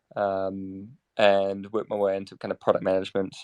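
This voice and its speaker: In a New Zealand accent, a man speaks at a moderate pace with a dry, close sound and no echo. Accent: New Zealand, self-described as terrible. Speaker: crypto startup operations lead, former software dev. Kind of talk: casual interview chat. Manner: mumbling, by own account; halting, many fillers.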